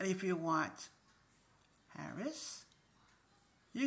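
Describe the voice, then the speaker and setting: A woman at a very slow pace. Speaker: video blogger. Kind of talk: casual vlog monologue. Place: home room. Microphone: phone near.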